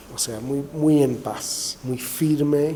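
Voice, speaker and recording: A man's fairly high voice with a slight Argentine accent, over noticeable background noise. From England. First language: English (speaking Spanish). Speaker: author, papal biographer. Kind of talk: interview. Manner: hesitant, many fillers and restarts.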